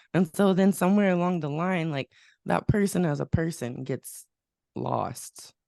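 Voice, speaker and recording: In an American accent, a woman with a fairly low, dark, mellow voice talks at a moderate pace with ordinary pitch variation, the sound dry and close with no echo. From Texas, Lubbock (West Texas). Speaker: singer-songwriter and pianist. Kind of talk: casual interview chat.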